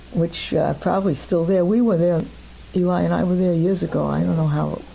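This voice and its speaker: Here a woman talks at a fairly quick pace. Noticeable background noise runs under her speech. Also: very even loudness. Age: 70s. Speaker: interviewee recounting family history. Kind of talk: oral history interview.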